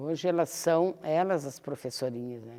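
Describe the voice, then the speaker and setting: A woman's very deep, low voice with ordinary pitch variation, at a moderate pace, on a very clean recording with a silent background. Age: 70s. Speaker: retired teacher and public servant. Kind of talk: interview. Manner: halting.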